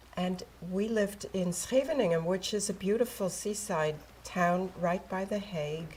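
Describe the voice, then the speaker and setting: A woman at a medium pitch with ordinary pitch variation, over noticeable background noise. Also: moderate pace. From Netherlands, then US from age ten. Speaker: Holocaust survivor speaker. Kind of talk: testimony.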